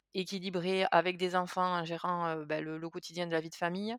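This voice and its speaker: In a very clean recording with a silent background, a woman speaks at a medium pitch. Her intonation is monotone and flat, and the sound is dry and close, with no echo. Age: 30s. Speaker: patient sharing diet experience. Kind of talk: interview testimony. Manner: hesitant with fillers and repetitions.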